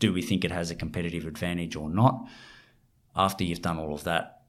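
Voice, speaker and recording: A man's very deep, low voice with an Australian accent, ordinary pitch variation and a fairly quick pace. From rural Australia. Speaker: fund manager. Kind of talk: interview.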